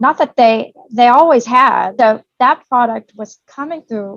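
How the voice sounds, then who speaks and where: Here a woman talks in a Southern accent at a fairly slow pace. The sound is dry and close, with no echo. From Tennessee, Nashville. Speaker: commercial real estate broker. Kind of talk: interview.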